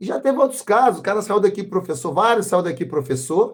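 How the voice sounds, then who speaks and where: A man's high-pitched voice at a fairly quick pace. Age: 60s. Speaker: capoeira master. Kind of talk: interview. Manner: casual, uses slang fillers.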